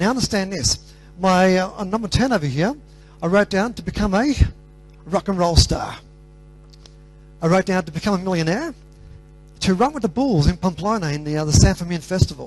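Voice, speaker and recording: An Australian man's high-pitched voice over background music, fairly quick and lively, with long, frequent pauses. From Australia, Greek parents. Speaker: motivational speaker. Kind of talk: motivational talk.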